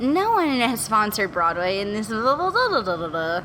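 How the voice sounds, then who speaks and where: Over noticeable background noise, a woman with an American accent speaks in a squeaky, animated, fairly high voice. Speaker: podcast guest. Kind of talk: casual chat.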